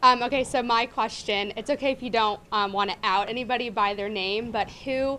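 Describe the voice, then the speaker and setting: A woman talks at a moderate pace with a bright, sharp tone. Her fairly high pitch follows a fairly even intonation. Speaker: journalism student. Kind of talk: audience question. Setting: classroom.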